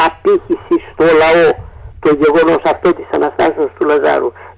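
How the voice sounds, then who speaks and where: Background noise is clearly noticeable here. The talking unfolds fairly slowly. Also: man. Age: 70s. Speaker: priest. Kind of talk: interview. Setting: internet radio studio. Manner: halting.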